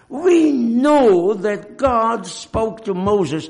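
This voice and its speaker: There is noticeable background noise as a man talks with very wide pitch swings. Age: 80s. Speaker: preacher. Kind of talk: sermon. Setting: church.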